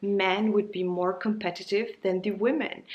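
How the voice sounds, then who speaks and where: A woman at a moderate pace, medium in pitch, with a non-native accent. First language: not English. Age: 30s. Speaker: YouTuber. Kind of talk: casual monologue.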